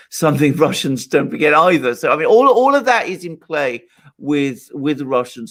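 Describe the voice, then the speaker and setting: A man with a British accent, his fairly high voice lively in intonation, at a moderate pace. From Britain. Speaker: political commentator. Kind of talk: live call-in show discussion. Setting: live stream. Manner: measured, careful wording.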